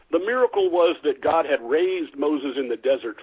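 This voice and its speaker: Speaking fairly quickly, this man talks in an American accent. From US Midwest, small river town in Illinois. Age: 60s. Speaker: author and former pastor. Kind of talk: interview. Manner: halting, with repetitions and fillers.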